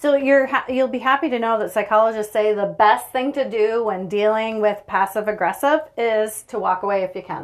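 Speaking in a Maritime Canadian accent, a woman with a fairly high pitch and ordinary pitch variation keeps a moderate pace with hardly any pauses. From Prince Edward Island, Canada. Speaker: podcast co-host. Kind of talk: casual chat. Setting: sauna.

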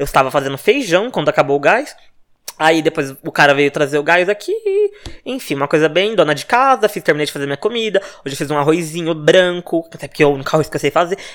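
Talking at a very fast pace, a man with a fairly high pitch uses ordinary pitch variation. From Brazil, Minas Gerais. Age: 20s. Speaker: podcast host, gossip journalist. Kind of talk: casual solo monologue.

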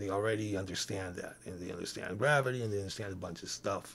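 This man has a fairly low pitch and sounds somewhat breathy. The recording is very clean against a silent background. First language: not English. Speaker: podcast co-host. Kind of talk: casual chat. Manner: halting.

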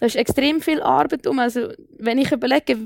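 In a dry, close recording with no echo, a woman with a high pitch talks at a moderate pace with lively intonation. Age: 20s. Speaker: young local politician. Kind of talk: panel debate.

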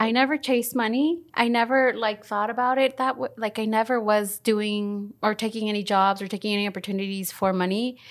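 A woman with a normal speaking voice talks at a fairly quick pace with hardly any pauses, her fairly high pitch showing ordinary variation. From Mexico (Oaxaca), raised in Los Angeles. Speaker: executive producer. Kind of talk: casual interview chat.

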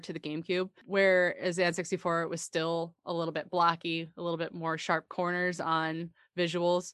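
A woman's unremarkable speaking voice, fairly low in pitch, at a moderate pace, with a dry, close sound with no echo and a quiet background. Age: 30s. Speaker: podcast co-host. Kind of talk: casual chat.

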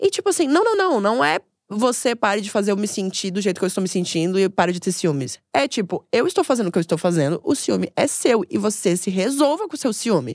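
A woman talks at a very fast pace in a fairly high pitch with very wide pitch swings. The background is quiet and the sound is dry and close, with no echo. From Brazil, Florianópolis. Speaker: comedian. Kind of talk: casual chat.

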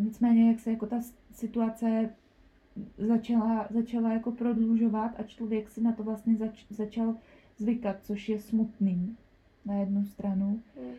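A somewhat breathy woman's voice, dark and mellow, at a fairly high pitch and fairly slow pace, with monotone, flat intonation. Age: 20s. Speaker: nursery school teacher. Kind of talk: personal testimony interview. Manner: halting, many fillers.

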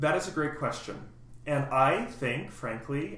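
Audible room echo carries a man's fairly high pitch. He speaks at a fairly slow pace with ordinary pitch variation. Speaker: composer. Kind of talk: casual chat.

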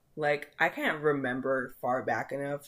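Moderate pace amid noticeable background noise. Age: 20s. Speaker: podcaster. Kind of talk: casual monologue. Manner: casual, filler-heavy with laughs.

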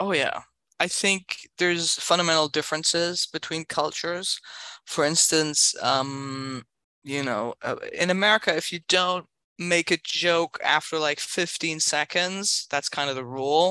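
A woman with a German accent speaks at a fairly slow pace in a fairly low, bright, sharp voice with ordinary pitch variation, recorded dry and close with no echo. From Berlin, Germany. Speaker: stand-up comedian. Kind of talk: casual chat.

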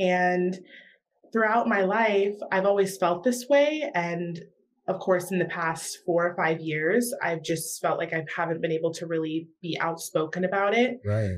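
A woman with an American accent talks at a fairly slow pace in a fairly low pitch, with an ordinary speaking voice. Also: lively intonation. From US South, South Carolina. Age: young. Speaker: rapper and student. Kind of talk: interview.

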